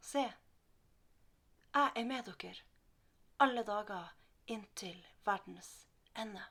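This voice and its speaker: A woman with a Northern Norwegian accent speaks at a very slow pace, leaving long, frequent pauses. Her pitch is fairly high with ordinary variation, her tone bright and sharp, and her loudness swings widely. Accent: Northern Norwegian dialect melody. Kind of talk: Bible reading.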